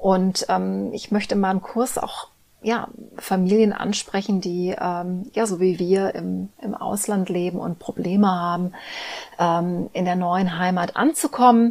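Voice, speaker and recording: Using fairly even intonation, a woman with an unremarkable speaking voice talks at a medium pitch and a fairly slow pace. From Germany, Cologne. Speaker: teacher and former actress. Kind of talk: interview.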